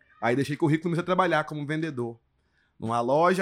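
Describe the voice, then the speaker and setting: This man's voice sits fairly high for a man, and the recording is very clean with a silent background. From grew up moving around Brazil (Porto Velho, Manaus, Salvador, Brasília, Recife). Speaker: stand-up comedian. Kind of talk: casual chat. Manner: animated.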